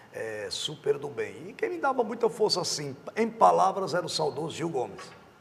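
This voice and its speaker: Male speech at a moderate tempo, set against noticeable background noise. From Rio Grande do Norte, Brazil. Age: 50s. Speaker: TV journalist. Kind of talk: interview.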